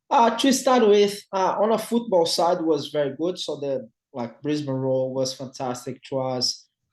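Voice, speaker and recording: Speaking fairly slowly with a Brazilian Portuguese accent, a man uses a fairly high pitch with very wide swings. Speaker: retired professional footballer. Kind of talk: interview conversation. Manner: halting, many fillers and repetitions.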